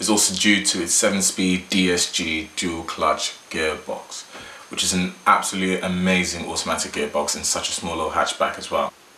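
A man talks at a moderate pace while light background noise and audible room echo surround his voice. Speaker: car vlogger. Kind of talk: casual vlog chat. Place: home room.

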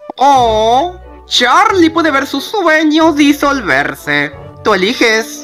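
Clear music plays in the background. The put-on character voice moves at a very slow pace. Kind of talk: fan dub. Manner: smooth, theatrical.

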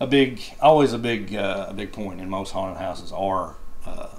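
A low-pitched man at a moderate pace with fairly even intonation

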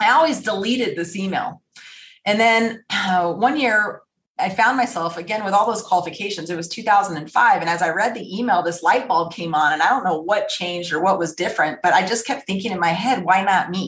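A woman with a plain, everyday voice and an American accent speaks at a fairly quick pace, at a medium pitch with ordinary pitch variation. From Las Vegas, Nevada, US. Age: 40s. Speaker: retired air force fighter pilot. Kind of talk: interview.

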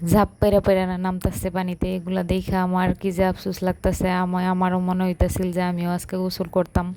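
Dark and mellow in tone, a woman's voice holds a medium pitch with monotone, flat intonation. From Bangladesh, Narayanganj. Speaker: village vlogger. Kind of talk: vlog voiceover narration. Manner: casual, unscripted.

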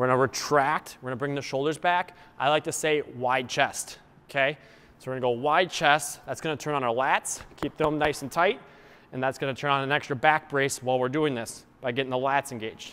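A man talks at a fairly quick pace with fairly even intonation. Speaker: fitness coach. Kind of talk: tutorial. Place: gym.

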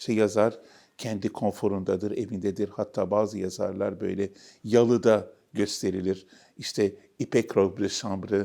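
Delivery is fairly slow, with monotone, flat intonation and a dark, mellow tone. The recording is very clean, with a silent background. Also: man. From Istanbul, Turkey. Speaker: novelist and academic. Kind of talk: interview.

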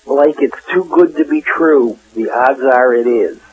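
Noticeable background noise sits behind a man speaking at a fairly slow pace. His pitch is fairly high. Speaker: industry consultant. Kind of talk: advice interview.

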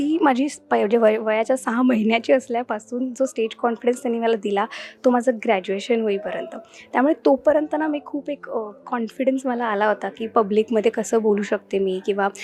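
This woman has an ordinary speaking voice with a fairly high pitch. Her pitch varies in an ordinary way. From Mumbai, India. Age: 20s. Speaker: film industry newcomer. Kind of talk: interview.

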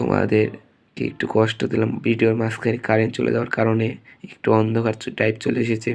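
This man's voice sits at a medium pitch. He speaks in a monotone, flat intonation. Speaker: online teacher. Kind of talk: tutorial.

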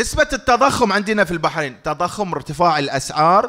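A loud man with a high pitch, a bright, sharp tone and lively intonation at a moderate pace against a quiet background. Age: middle-aged. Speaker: financial lecturer. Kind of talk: public lecture. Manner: interactive, conversational. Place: hall. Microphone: studio mic.

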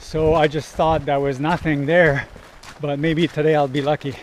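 At a moderate pace, a man speaks with a dry sound that has no echo, over light background noise. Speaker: waterfall explorer vlogger. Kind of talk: casual vlog chat. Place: forest. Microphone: phone near.

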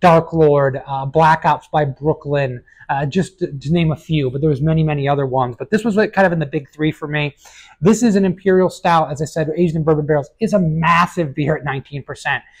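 A man's speech has ordinary pitch variation and moves at a moderate speed. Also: quiet background. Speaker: beer reviewer. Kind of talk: casual review commentary. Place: shop. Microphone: lapel.

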